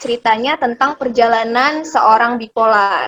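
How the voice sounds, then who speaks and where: A woman speaks high in pitch, at moderate speed and with ordinary pitch variation. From Medan, North Sumatra. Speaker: video host. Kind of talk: casual chat. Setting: video call.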